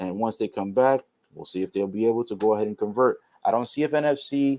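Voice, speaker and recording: At a very fast pace, a man speaks in a medium pitch with ordinary variation, recorded very cleanly with a silent background and a dry, close sound with no echo. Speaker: sports livestreamer. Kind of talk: live commentary. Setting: livestream. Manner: stumbling over words.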